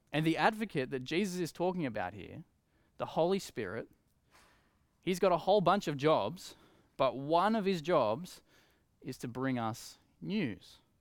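In an Australian accent, a fairly high-pitched man with vocal fry uses lively intonation at a moderate pace, with long, frequent pauses, in a very clean recording over a silent background. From Australia, Coffs Harbour NSW. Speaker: preacher. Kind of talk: sermon. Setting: empty church, livestream.

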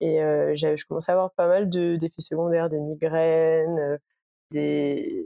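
In a dry, close sound with no echo, a woman talks at a very slow pace. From Île-de-France, near Paris. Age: 20s. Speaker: interviewee sharing personal health experience. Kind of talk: casual chat. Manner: hesitant, many fillers.

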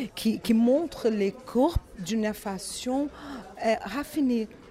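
A woman speaks with a Brazilian accent at a very slow pace. Her intonation is lively over noticeable background noise. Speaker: fashion brand representative. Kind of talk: interview. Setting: fashion trade show in Paris. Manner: halting, with many repetitions and fillers.

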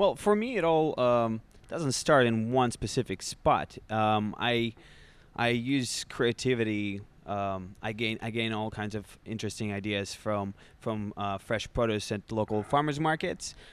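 A man with a Russian accent, medium pitch and a fairly slow pace. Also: ordinary pitch variation, very clean recording, silent background. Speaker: bartender. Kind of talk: interview. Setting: bar. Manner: halting.

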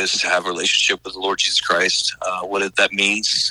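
A man speaks with a Southern US accent. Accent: Southern US (Oklahoma). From Oklahoma. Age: 40s. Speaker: missionary. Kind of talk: interview. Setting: radio interview.

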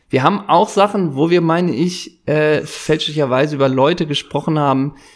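Using a normal speaking voice, a man with a fairly high pitch and ordinary pitch variation talks at a moderate pace. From Germany, Worms. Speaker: podcast co-host. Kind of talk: casual chat.

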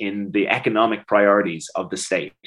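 This man talks at a moderate pace with an Irish accent. His pitch is fairly low. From Ireland, Dublin. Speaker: DJ and campaigner. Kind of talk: interview.

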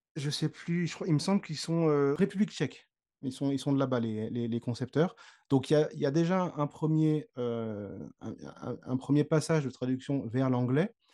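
Against a quiet background, a man's fairly high, dark, mellow voice moves at a moderate pace with ordinary pitch variation. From Normandy, Le Havre. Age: 30s. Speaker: sound engineer, audio game developer. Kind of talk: interview.

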